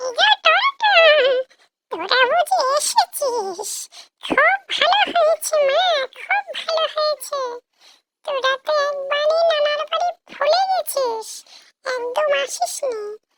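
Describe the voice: A woman performs a squeaky, cartoonish character voice at an extremely high pitch, with very wide pitch swings. She talks at a fairly slow pace in a dry, close sound with no echo.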